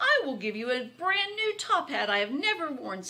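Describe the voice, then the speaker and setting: A woman's put-on character voice, high in pitch with very wide pitch swings, at a moderate pace. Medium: read story.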